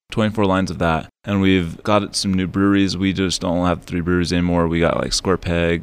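With an American accent, the speaker moves at a fairly quick pace with fairly even intonation. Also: man. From Monte Vista, Colorado. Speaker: business general manager, Air Force veteran. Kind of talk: casual interview.

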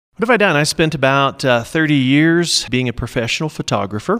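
A man talks at a fairly quick pace in a normal speaking voice. Pitch variation is ordinary, and the sound is dry and close with no echo. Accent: American. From Oklahoma (Norman, central Oklahoma). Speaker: small business owner, printer and photographer. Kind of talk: interview.

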